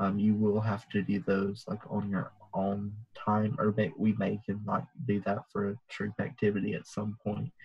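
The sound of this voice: With a fairly low pitch and a husky, rough edge, a man speaks at a moderate pace in a monotone, flat intonation.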